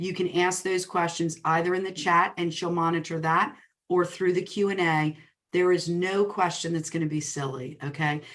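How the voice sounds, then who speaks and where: This voice moves at a moderate pace with a New Jersey accent. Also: woman, fairly low pitch for a woman. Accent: New Jersey twang. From New Jersey, greater Princeton area. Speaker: real estate coach and speaker. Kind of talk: webinar presentation. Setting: online webinar. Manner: animated.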